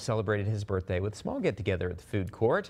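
A man speaks against a quiet background. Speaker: TV news anchor. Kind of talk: local TV news read.

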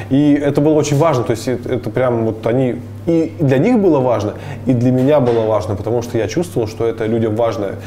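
Over light background noise, a man talks at a fairly quick pace with ordinary pitch variation and very even loudness. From Bashkortostan, Russia (Ufa area); Bashkortostan, Russia. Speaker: traveler and entrepreneur; guest. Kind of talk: interview. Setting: coffee shop. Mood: calm, reflective. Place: cafe. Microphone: lapel.

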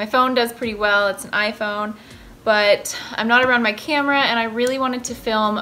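A woman speaks in a bright, sharp tone. There is light background noise behind her. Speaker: recipe vlogger. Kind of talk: casual vlog chat. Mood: cheerful, enthusiastic. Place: kitchen. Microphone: phone near.

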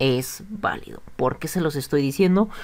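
An unremarkable speaking voice moves at a fairly slow pace with lively intonation. The recording is very clean, the background silent. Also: man. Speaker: YouTube vlogger sharing a consumer complaint. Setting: solo video recording to camera. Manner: conversational, repeats words like 'pues' and 'bueno'.

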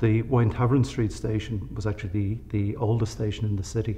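In a dark, mellow, somewhat breathy voice of fairly low pitch, a man talks fairly quickly with monotone, flat intonation. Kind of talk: interview answer. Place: hall.

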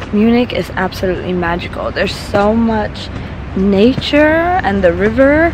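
The voice moves at a fairly slow pace, with crowd noise in the background. The sound is dry, with no echo. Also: woman. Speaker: travel vlogger. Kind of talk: casual vlog chat. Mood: enthusiastic, delighted. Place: forest. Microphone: phone near.

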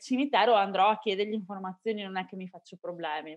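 At a fairly quick pace, a woman speaks with ordinary pitch variation over a quiet background. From Venice, Italy; Italy. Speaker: podcaster. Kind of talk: interview. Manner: calm. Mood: calm, enthusiastic. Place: home room. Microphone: video call.

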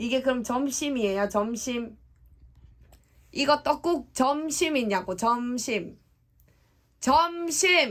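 On a very clean recording with a silent background, a woman with a high pitch speaks very slowly and with lively intonation, leaving long, frequent pauses. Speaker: vlogger. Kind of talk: casual conversation. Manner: loud, repeating for a hard-of-hearing listener.

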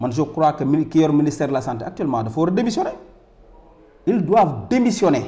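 Loud and dark, mellow in tone, a man's fairly high-pitched voice makes very wide pitch swings at a fairly quick pace, broken by long, frequent pauses. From Senegal. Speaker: political commentator. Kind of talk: angry rant on public-funds scandal. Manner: indignant, loud, emphatic, repeating words. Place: studio.

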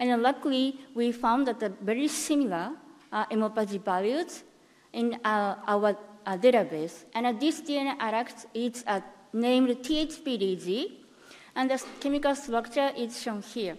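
Speaking at a fairly slow pace, a woman with a Japanese accent has a high pitch. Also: ordinary pitch variation. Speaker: cancer researcher. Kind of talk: conference talk. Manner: halting. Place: hall.

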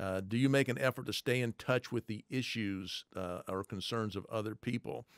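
Male speech at a moderate pace with hardly any pauses, over a quiet background. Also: ordinary pitch variation, dry sound with no echo. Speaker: leadership trainer; podcast host. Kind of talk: teaching. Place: studio. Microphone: studio mic.

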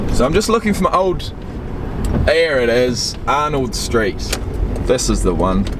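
Over noticeable background noise, a man speaks at a fairly slow pace with long, frequent pauses and very wide pitch swings. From New Zealand, Christchurch. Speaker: vlogger. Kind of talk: personal vlog storytelling. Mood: reflective, storytelling. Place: car. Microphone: phone near.

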